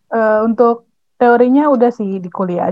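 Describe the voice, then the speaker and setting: A woman with an unremarkable speaking voice, fairly even intonation and a moderate pace. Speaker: student podcast host. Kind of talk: casual interview chat.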